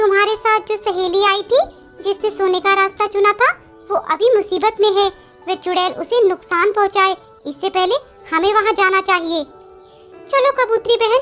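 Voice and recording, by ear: Faint music plays in the background as a woman uses a cartoonish character voice at an extremely high pitch. She keeps a moderate pace with ordinary pitch variation.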